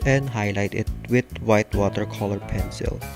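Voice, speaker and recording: Over music in the background, the speech runs at a moderate pace with ordinary pitch variation. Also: man. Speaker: figure repaint hobbyist. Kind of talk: craft tutorial narration.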